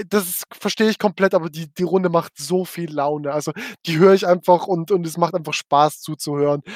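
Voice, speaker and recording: Intonation stays fairly even as a man with a high pitch talks. His pace is fairly quick. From Switzerland, Frauenfeld. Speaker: battle rap podcast co-host. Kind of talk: casual chat. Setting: livestream.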